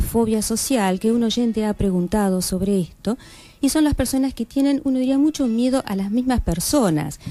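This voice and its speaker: Fairly high pitch and a dark, mellow tone from a woman. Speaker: clinical psychologist, guest on a radio health program. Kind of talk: radio interview answer explaining psychology to listeners.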